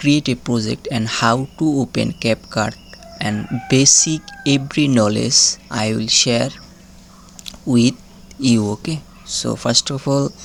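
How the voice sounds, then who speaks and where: Noticeable background noise runs under speech delivered at a very slow pace. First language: not English. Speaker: video editing tutor. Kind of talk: tutorial. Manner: halting.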